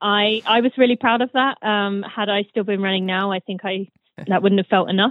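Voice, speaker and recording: Speaking at a fairly quick pace, a woman with a British accent keeps a medium pitch and fairly even intonation. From Britain. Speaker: former elite runner. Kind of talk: interview.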